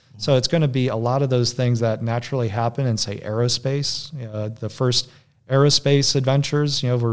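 Man in an ordinary speaking voice with an American accent, medium pitch, fairly even intonation and a fairly quick pace. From US Midwest, Michigan. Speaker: defense company executive. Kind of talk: interview.

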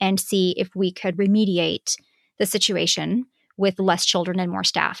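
A woman speaks at a moderate pace in a medium pitch. The sound is dry and close with no echo, a very clean recording over a silent background. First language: Spanish. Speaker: podcast host, music teacher and homeschooling mom. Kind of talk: solo podcast monologue, casual and conversational. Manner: conversational, friendly, with some hesitations.

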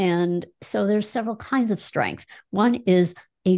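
A plain, everyday voice speaks at a fairly slow pace with ordinary pitch variation. The background is quiet. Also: woman. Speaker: health coach school founder, former psychologist. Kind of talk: interview.

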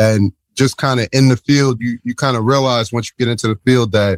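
At a fairly quick pace comes a normal speaking voice. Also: man. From New Jersey. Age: 40s. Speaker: psychologist. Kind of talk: interview. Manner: conversational, many fillers.

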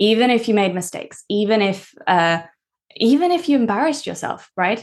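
A woman with a Norwegian accent speaks at a moderate pace. Her fairly high pitch swings very widely. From Norway. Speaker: language coach and podcast host. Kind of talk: casual interview chat.

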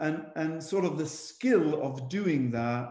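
Speaking at a very slow pace, a man talks. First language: not English.

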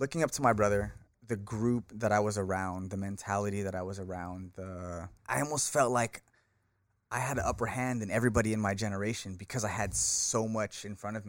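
A man with an American accent speaks at a fairly quick pace in a fairly low pitch, with ordinary pitch variation, on a very clean recording with a silent background. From California, US West Coast. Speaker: martial arts instructor and author, former MMA fighter. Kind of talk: casual interview.

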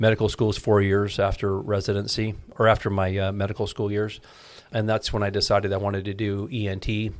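Fairly quick speech with an American accent, flat monotone intonation, and a very clean recording over a silent background. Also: man, fairly low pitch for a man. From Iowa, US Midwest. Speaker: ENT surgeon. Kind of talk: interview.

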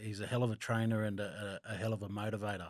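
Very clean, with a silent background and a dry, close sound lacking echo, the recording captures a man with an Australian accent and a fairly low pitch. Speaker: former rugby league player. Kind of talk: casual chat. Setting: studio.

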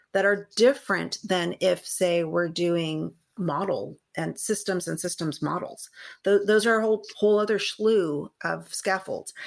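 With an American accent, a woman speaks at a fairly slow pace in a medium pitch with ordinary pitch variation, over a very clean recording with a silent background. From Southern California, San Gabriel Valley. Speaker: science education researcher, former teacher. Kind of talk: interview conversation.

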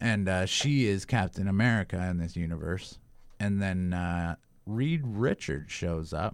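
A man's very deep, low voice at a fairly slow pace, with ordinary pitch variation, on a very clean recording with a silent background. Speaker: co-host sidekick. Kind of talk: casual podcast chat. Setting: studio. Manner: excitable, profane.

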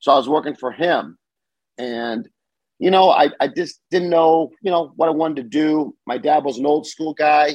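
An ordinary speaking voice with an American accent talks at a moderate pace with ordinary pitch variation. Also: man, fairly high pitch for a man. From Southern California, US. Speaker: bicycle shop owner. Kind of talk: casual interview chat.

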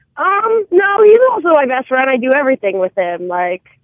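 With an ordinary speaking voice and an American accent, a woman talks at a moderate pace with lively intonation. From New Jersey. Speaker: caller. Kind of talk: call-in conversation.

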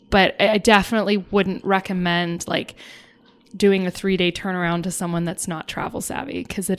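A woman's medium-pitched voice, a plain, everyday voice. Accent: American. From Ireland and US. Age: 30s. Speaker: airline ramp agent. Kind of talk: casual chat.

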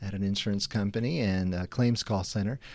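On a very clean recording with a silent background, a man speaks at a fairly quick pace. His voice is fairly low in pitch, with a dark, mellow tone. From Mexico. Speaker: missions minister. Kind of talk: interview, casual chat.

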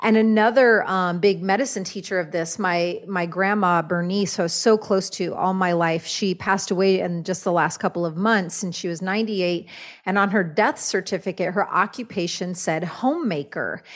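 Medium in pitch, a woman talks at a moderate pace with hardly any pauses and ordinary pitch variation in a normal speaking voice. The recording is very clean against a silent background. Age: 40s. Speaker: shaman and author. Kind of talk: casual interview.

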